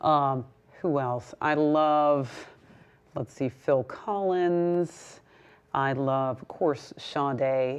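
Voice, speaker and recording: A woman's very deep, low voice at a very slow pace with long, frequent pauses, over a quiet background. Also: ordinary pitch variation. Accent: slight New York. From US West Coast, Berkeley, California. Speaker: singer-songwriter. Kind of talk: interview.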